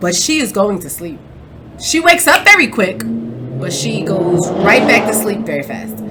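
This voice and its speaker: A woman with an animated tone, medium pitch and very wide pitch swings, at a moderate pace, with big swings in loudness, audible room echo and noticeable background noise. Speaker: podcast host. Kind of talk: casual chat. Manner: mumbles sometimes.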